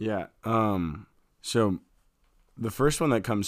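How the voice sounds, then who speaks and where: The clip is very clean, and the background is silent. A man speaks with ordinary pitch variation. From US Midwest, Fort Wayne, Indiana. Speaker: podcast co-host. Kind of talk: casual chat.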